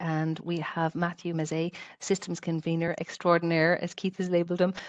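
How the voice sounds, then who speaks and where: In a Tipperary accent, a woman speaks with a fairly low pitch and flat, monotone intonation. The background is quiet. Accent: Irish (Tipperary). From Ireland, Clonmel, County Tipperary; Ireland. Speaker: webinar host, health service quality and safety staff; webinar host. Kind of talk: online webinar facilitation. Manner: fast. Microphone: headset.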